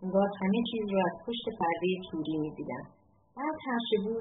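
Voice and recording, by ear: Pitch moves in an ordinary way as the text is read aloud in a natural voice.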